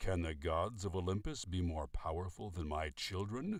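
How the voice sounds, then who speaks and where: Gruff and very deep, a man uses a put-on character voice at a moderate pace with ordinary pitch variation. The recording is very clean and the background silent. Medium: read story. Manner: gruff, commanding.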